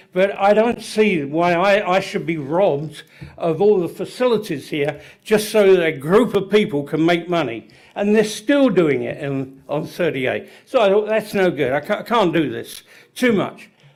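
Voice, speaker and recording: A man speaks at a moderate pace with an English accent. His voice is high-pitched, with lively intonation. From England, London. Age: 70s. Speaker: public commenter. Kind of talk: public comment at hearing. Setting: public meeting. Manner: halting.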